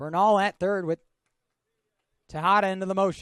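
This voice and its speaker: A man speaks at a high pitch with fairly even intonation, the sound dry and close with no echo. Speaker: television play-by-play baseball announcer. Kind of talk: sports broadcast play-by-play commentary.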